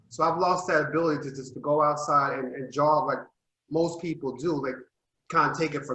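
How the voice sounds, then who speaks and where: Bright, sharp tone at a moderate pace with fairly even intonation. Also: man. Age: 60s. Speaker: panelist. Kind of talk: panel discussion.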